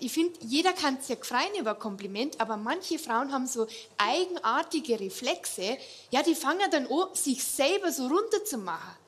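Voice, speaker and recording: In a Bavarian accent, the speaker goes at a moderate pace with very wide pitch swings. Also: woman. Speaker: cabaret comedian. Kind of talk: stand-up. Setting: stage with audience.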